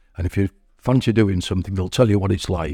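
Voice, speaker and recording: In an East Yorkshire accent, a man speaks at a fairly low pitch with a dark, mellow tone, the sound dry and close with no echo. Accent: East Yorkshire (Hull) English. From Hull, East Yorkshire, England. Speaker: community centre member. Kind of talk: casual interview. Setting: community centre.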